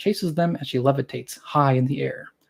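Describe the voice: The pitch varies in an ordinary way as someone does plain reading aloud.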